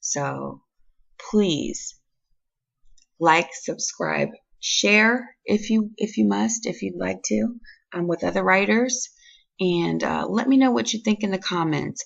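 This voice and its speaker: A woman uses a raspy, put-on character voice. She goes at a fairly slow pace with long, frequent pauses. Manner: apologetic.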